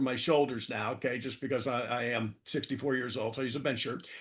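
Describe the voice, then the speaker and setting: A man talks at a very fast pace. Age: 60s. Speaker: author and marketing consultant, powerlifter. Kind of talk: interview. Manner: repetitive fillers, frequent okay and stammered repeats.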